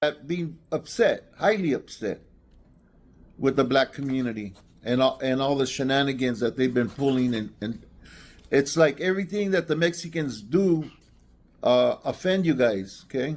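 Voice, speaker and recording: Speaking with an American accent, a man has a fairly high pitch and lively intonation. His pace is moderate. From East Los Angeles, US West Coast. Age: 60s. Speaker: caller. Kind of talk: heated debate. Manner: halting.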